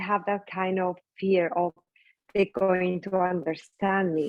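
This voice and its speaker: A woman with a strong Spanish accent speaks at a moderate pace and medium pitch. Music plays in the background. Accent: thick Spanish. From Colombia. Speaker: skincare business founder. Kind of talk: interview conversation.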